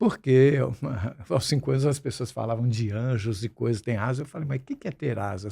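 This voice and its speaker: A man talks at a fairly quick pace in a medium pitch, somewhat breathy. The recording is very clean, with a silent background. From Brazil, Santos (São Paulo coast). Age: 60s. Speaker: musician and screenwriter, podcast guest. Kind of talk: interview conversation.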